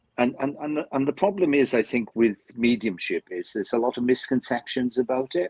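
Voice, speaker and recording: The speaker has a Welsh accent, recorded with a dry, close sound and no echo. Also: man. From South Wales. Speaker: spiritualist medium. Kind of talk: live-stream chat. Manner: halting, repeats words.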